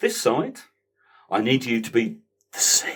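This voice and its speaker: A man speaks at a medium pitch with vocal fry. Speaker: storyteller. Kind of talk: casual talk to a live audience.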